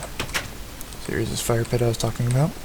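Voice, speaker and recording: A man speaks quietly. Noticeable background noise runs underneath. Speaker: gamer. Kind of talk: casual game tour narration.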